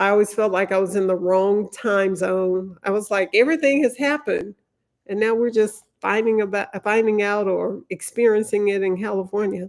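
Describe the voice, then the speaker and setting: Here a woman speaks with a Louisiana accent and fairly even intonation. The recording is very clean, with a silent background. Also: medium pitch for a woman. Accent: Southern US (Louisiana). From Louisiana, US South. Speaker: lawyer, legal commentator. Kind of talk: live stream commentary. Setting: live stream. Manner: slow.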